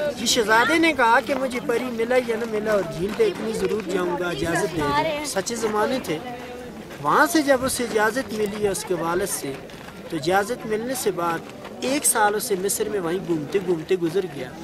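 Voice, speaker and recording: Amid crowd noise and audible room echo, a man with a high pitch speaks with lively intonation. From northern Pakistan, Kaghan valley near the lake. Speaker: local storyteller and lake guide. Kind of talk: oral folk storytelling.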